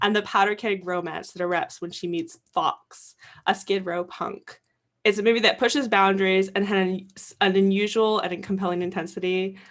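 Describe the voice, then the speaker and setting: In front of a quiet background, a woman at medium pitch speaks at a moderate pace with monotone, flat intonation. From Canada. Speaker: film festival programmer. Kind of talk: live Q&A moderation.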